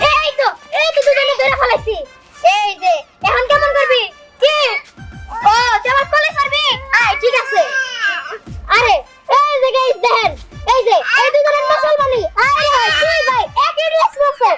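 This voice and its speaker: A woman's put-on character voice at an extremely high pitch, moderate in pace and very even in loudness, with faint music in the background. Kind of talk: comic overacting. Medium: comedy sketch. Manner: loud, chatty, rural dialect.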